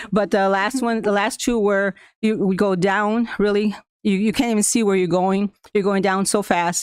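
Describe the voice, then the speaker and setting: A woman with a Spanish accent at medium pitch, fairly quick and fairly even in intonation, on a very clean recording with a silent background. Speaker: school staff member presenting to school board. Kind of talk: prepared presentation to board meeting. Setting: school board meeting.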